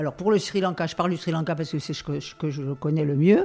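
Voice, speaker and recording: Her voice sits very deep and low, with a dark, mellow tone and ordinary pitch variation. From Algeria. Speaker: humanitarian volunteer. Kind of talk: interview. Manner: halting.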